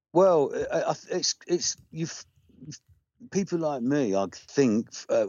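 A man with an English accent at a moderate pace. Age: 60s. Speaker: rock singer-songwriter. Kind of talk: casual interview. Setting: phone call.

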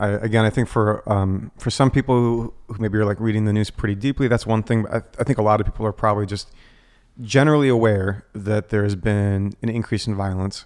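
On a very clean recording with a silent background, a man with an American accent talks at a fairly quick pace in an ordinary speaking voice, fairly low in pitch and fairly even in intonation. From United States. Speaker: pastor. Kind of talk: church podcast interview.

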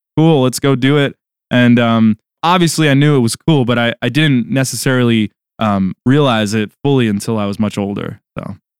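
A normal speaking voice moves at a moderate pace with ordinary pitch variation. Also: man, medium pitch for a man. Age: 20s. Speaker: guitarist. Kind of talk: interview.

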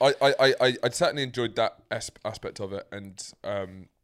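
A man with a British accent in a very clean recording with a silent background. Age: 20s. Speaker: podcast co-host. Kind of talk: casual banter chat.

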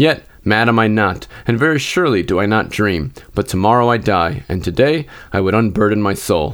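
With a plain, everyday voice, a man with a fairly low pitch talks at a fairly quick pace with lively intonation. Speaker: podcast host and reader. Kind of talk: literary audiobook reading of Poe horror, dramatic first-person gothic narration.

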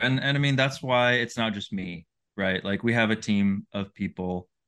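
A man talks at a moderate pace, his medium-pitched voice showing ordinary pitch variation. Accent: American. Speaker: managing editor and outdoor writer. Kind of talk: casual interview chat.

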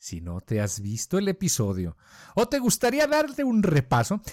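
The voice swings very widely in pitch at a fairly slow pace, on a very clean recording with a silent background. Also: man. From Colombia. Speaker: podcast co-host. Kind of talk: casual chat.

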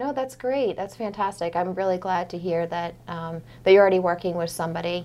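A woman with an American accent in a plain, everyday voice, fairly low in pitch with ordinary variation, at a fairly quick pace on a very clean recording with a silent background. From Maine, US (Portland area). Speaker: financial advisor. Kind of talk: casual interview.

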